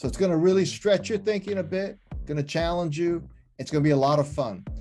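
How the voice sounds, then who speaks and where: Music sits in the background as a man speaks at a very fast pace. His pitch is high, with ordinary pitch variation. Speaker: podcast host. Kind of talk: podcast intro.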